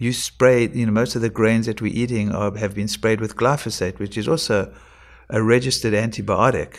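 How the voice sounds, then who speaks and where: An unremarkable speaking voice with fairly even intonation, captured in a very clean recording against a silent background. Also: man. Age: 60s. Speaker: integrative medicine doctor. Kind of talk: casual interview.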